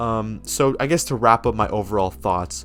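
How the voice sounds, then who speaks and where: With music in the background, a man speaks at a fairly low pitch with lively intonation. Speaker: movie reviewer. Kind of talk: casual video review monologue. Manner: hesitant, many fillers and repetitions.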